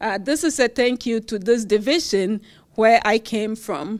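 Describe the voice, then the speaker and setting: A speaker with a Ghanaian accent talks at a fairly slow pace with ordinary pitch variation. The recording is very clean, with a silent background. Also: woman. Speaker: university professor, award recipient. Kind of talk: award acceptance speech.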